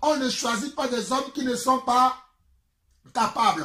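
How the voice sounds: Speaking at a fairly slow pace, a man with an extremely high pitch and a bright, sharp tone shows ordinary pitch variation.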